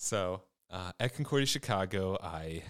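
In a very clean recording with a silent background, a man speaks in a very deep, low pitch with a Midwestern American accent. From Michigan, US. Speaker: vicar, seminary student. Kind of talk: casual interview.

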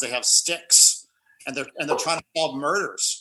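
In an ordinary speaking voice, a man with an American accent talks at a fairly quick pace. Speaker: writer and commercial actor. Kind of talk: casual interview.

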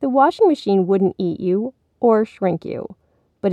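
The background stays quiet. A reading voice comes through unforced.

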